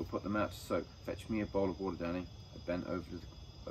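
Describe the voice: Fairly even intonation in a plain reading aloud.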